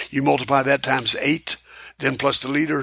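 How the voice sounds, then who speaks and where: A man races along at a very fast pace while noticeable background noise persists. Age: 80s+. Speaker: square dance caller and music producer. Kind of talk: casual interview.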